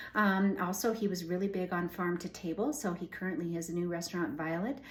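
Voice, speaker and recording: Over noticeable background noise, a woman speaks fairly quickly in a fairly low voice. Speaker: home cooking channel host. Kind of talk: casual vlog introduction. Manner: fast; many fillers, hesitant.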